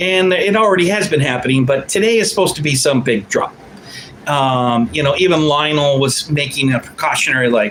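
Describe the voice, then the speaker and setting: A man speaks in an animated tone, his pitch swinging very widely. Noticeable background noise is present. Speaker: livestream commentator. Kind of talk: casual livestream monologue. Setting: home studio livestream.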